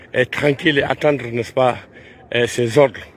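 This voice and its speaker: A man's monotone, flat intonation over noticeable background noise. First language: Pular (Fula) (speaking French). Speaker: Islamic preacher. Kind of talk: guided tour talk on pilgrimage. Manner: halting, many hesitations.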